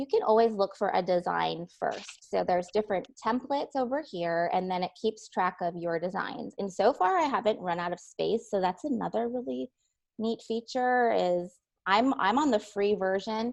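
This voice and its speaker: With a quiet background, a plain, everyday voice carries lively intonation at a moderate tempo. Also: woman, medium pitch for a woman. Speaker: curriculum specialist presenter. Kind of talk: tutorial.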